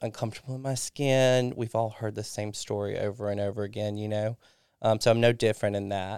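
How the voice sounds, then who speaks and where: A man with a Southern US accent speaks in a very clean recording with a silent background, the sound dry and close with no echo. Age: 30s. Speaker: recovering alcoholic sharing his story. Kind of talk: casual interview, personal testimony.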